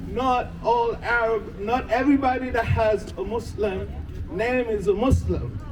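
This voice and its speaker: At a fairly slow pace, a man talks at an extremely high pitch with fairly even intonation, amid audible room echo and noticeable background noise. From Haiti. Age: 60s. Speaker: protester. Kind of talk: rally speech.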